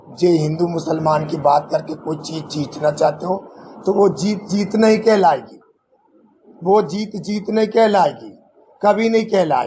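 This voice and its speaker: A man speaks with ordinary pitch variation. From Jabalpur, Madhya Pradesh, India. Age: 70s. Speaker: transgender community leader, former councillor. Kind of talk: press conference statement. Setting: press conference.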